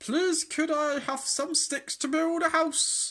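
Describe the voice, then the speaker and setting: Squeaky and high-pitched, this is a put-on character voice. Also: fairly slow pace. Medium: read story.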